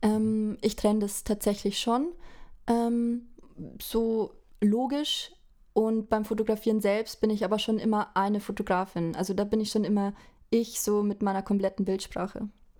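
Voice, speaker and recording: Speaking at a moderate pace, a fairly high-pitched woman keeps her intonation fairly even. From Bavaria, village near Regensburg. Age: 20s. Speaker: fashion photographer. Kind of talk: casual interview chat. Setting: remote call.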